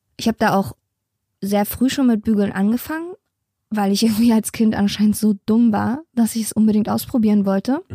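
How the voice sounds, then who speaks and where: This woman talks at a moderate pace with fairly high pitch, ordinary pitch variation, a somewhat breathy, dark, mellow tone, and a dry, close sound with no echo. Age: 30s. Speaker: podcast co-host. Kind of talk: casual chat. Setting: home attic.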